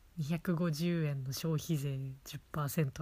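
A woman's very deep, low-pitched voice, somewhat breathy and cheerful in tone, with ordinary pitch variation and a slight Hokkaido accent. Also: very clean recording, silent background. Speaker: podcast host teaching Japanese. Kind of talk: casual chat. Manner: cheerful, laughing often.

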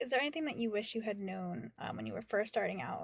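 Very clean recording of a woman talking, the background silent. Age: 20s. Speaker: podcast host, actor and creative coach. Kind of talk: casual interview.

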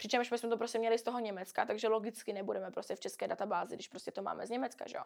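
Vocal fry at a very fast pace, with hardly any pauses. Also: woman, fairly high pitch for a woman, ordinary pitch variation. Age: 20s. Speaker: influencer. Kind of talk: casual chat.

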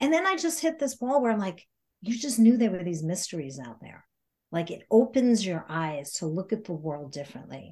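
A woman with a medium pitch has a dark, mellow tone that is somewhat breathy. Her pitch swings very widely, and her loudness rises and falls a great deal. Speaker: podcast guest, yoga teacher and intuitive life coach. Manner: fast talker.

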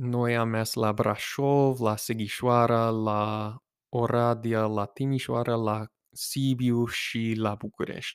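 A man at medium pitch, very slow and monotone with flat intonation, in a dry, close sound with no echo and a very clean recording against a silent background. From United States. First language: English (speaking Romanian). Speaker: podcast host. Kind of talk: casual monologue. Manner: halting.

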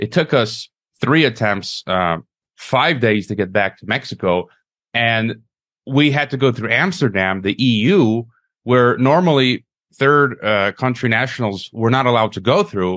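A man with an ordinary speaking voice talks at a fairly slow pace and medium pitch with lively intonation on a very clean recording with a silent background. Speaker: podcast host. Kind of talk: interview.

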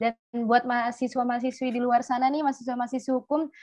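Very fast pace in a monotone, flat delivery. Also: woman. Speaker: student organization talk show host. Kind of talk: interview.

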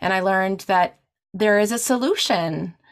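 A woman speaks at a fairly slow pace and medium pitch. Her pitch varies in an ordinary way. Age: 40s. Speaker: podcast host sharing recovery story. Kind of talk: interview testimony. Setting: video call. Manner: halting, with many fillers and restarts.

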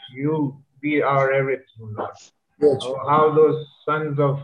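This is a man with a normal speaking voice. His pitch is fairly high. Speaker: congregation member praying. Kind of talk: fervent extemporaneous prayer in English. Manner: earnest, repetitive, pleading, with rhythmic 'Lord' refrain.

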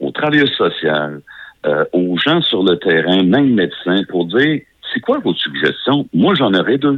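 A man with a Quebec accent talks at a very slow pace, his pitch swinging very widely. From Beauce, Quebec. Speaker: nurse. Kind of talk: radio interview.

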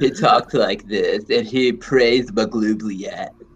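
A man adopts a put-on character voice, his medium pitch moving at a fairly slow pace. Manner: devout, reverent praise.

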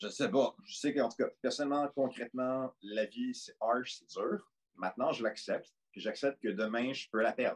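A man at a moderate pace, dry and close with no echo. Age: 20s. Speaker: podcast guest. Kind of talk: casual chat.

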